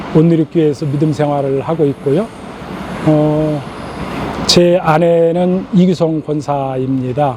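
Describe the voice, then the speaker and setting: Amid noticeable background noise, a man with a fairly high pitch speaks at a very slow pace and with fairly even intonation. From rural South Korea. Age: 60s. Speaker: church elder. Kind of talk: interview. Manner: hesitant with filler sounds.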